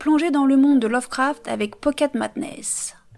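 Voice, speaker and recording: The woman's intonation is fairly even and her pitch is high. She keeps a moderate pace. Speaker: board game youtuber. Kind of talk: reading aloud.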